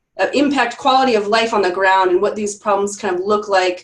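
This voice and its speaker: A woman speaks at a very fast pace. Her pitch is medium, with ordinary variation. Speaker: university community engagement director. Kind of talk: webinar presentation.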